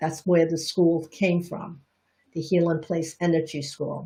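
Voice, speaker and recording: A woman with an American accent speaks at a fairly low pitch, somewhat breathy, with a dark, mellow tone. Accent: Chinese Bostonian. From Boston, US. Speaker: energy healing teacher and reflexologist. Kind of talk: live-streamed Q&A talk. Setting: live broadcast.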